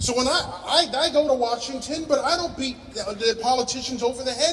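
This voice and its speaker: This man's voice sits at an extremely high pitch and moves at a moderate pace, with noticeable background noise behind it. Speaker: commencement speaker, science educator. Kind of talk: commencement speech to a live audience.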